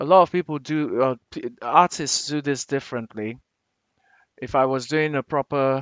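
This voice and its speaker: With an African accent, a man speaks at a fairly high pitch and with fairly even intonation. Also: moderate pace. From Nigeria. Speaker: digital artist, t-shirt designer. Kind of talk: tutorial. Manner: casual, thinking aloud with fillers.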